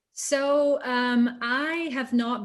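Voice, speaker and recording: A woman with a Scottish accent. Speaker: voice actor. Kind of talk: interview.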